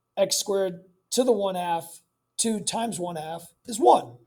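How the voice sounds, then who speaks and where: A man's high-pitched voice shows ordinary pitch variation. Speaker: math teacher. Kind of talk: tutorial. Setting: recorded homework video. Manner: casual, filler words.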